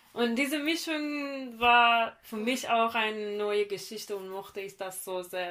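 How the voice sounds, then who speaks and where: On a very clean recording with a silent background, a woman with a fairly high pitch and a bright, sharp tone talks at a fairly slow pace with hardly any pauses, ordinary pitch variation and big swings in loudness. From Iran, northern Caspian region. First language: Persian (speaking German). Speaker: guest discussing Iranian music. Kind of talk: casual chat. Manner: halting.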